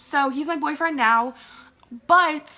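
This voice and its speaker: A woman's raised, projected voice with an American accent, in an animated tone at a fairly slow pace, with ordinary pitch variation. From Maryland, USA. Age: young. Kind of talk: casual storytime talk to camera. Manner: chatty, animated.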